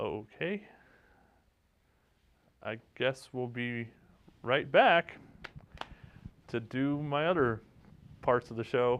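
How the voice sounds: A man speaks at a medium pitch with a fairly bright tone and lively intonation. His pace is very slow, broken by long, frequent pauses.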